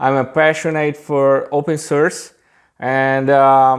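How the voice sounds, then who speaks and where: A man with a Brazilian accent against a quiet background. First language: Portuguese. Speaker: software engineer. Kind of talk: tech demo presentation.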